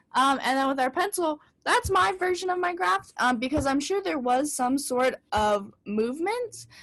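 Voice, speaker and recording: Pitch swings very widely in this voice. The pace is moderate. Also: woman. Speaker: music teacher. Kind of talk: tutorial.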